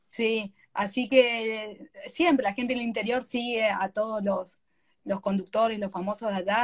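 Fairly even intonation marks a woman's somewhat breathy speech. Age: 40s. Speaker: live stream host. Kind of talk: casual interview.

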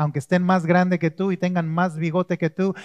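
In a calm tone, a man speaks with a high pitch, the sound dry and close with no echo. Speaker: pastor. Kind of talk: sermon. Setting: church with congregation. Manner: calm, never raises voice.

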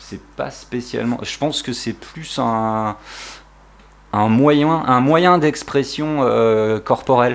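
On a very clean recording with a silent background, the speaker goes at a very slow pace, with ordinary pitch variation and big swings in loudness. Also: man, medium pitch for a man. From southern France (Var, Provence coast). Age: 40s. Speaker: veteran skateboarder and photographer. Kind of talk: casual chat.

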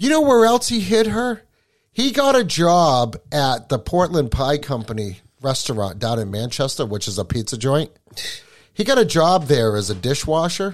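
A man speaks at a moderate pace in a fairly high pitch with very wide pitch swings. The recording is very clean with a silent background. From Kentucky, Appalachia. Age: 40s. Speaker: podcast host. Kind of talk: casual chat. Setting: home garage studio.

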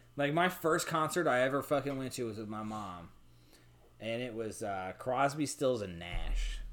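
A man with an ordinary speaking voice talks at a medium pitch and a moderate pace, with lively intonation. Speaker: podcast co-host. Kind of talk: casual chat over beers. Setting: home recording while drinking. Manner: loud, profane, excitable.

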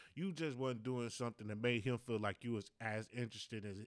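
Mumbling at a fairly quick pace, a man speaks at medium pitch with ordinary pitch variation. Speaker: podcast host. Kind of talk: solo casual monologue.

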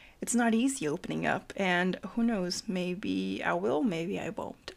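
Vocal fry marks a very slow voice with an American accent. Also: woman. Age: 20s. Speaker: student, host's childhood best friend. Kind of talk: casual chat.

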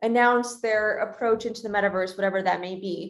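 A woman's medium-pitched voice with ordinary pitch variation, an unremarkable speaking voice. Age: 20s. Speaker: venture capital investor. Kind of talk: interview.

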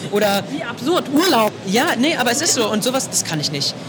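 A man with a high voice and lively intonation comes through audible room echo and noticeable background noise. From Potsdam, Germany. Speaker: voice actor. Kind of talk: interview. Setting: convention floor.

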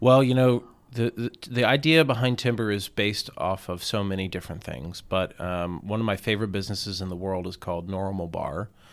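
Speaking at a fairly quick pace with hardly any pauses, a man keeps a fairly low pitch. His pitch varies in an ordinary way. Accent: American. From US South, Atlanta suburbs (Gwinnett County, Georgia). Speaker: chef and restaurant owner. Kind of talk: casual interview. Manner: hesitant, many fillers.

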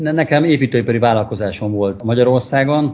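A man talks at a fairly quick pace. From Hungary, Székesfehérvár. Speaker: construction business owner. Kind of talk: interview about living abroad. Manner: halting.

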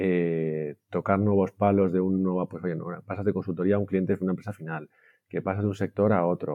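A man with fairly low pitch speaks at a moderate pace in an ordinary speaking voice. His intonation is fairly even. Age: 40s. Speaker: IT director. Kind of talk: interview.

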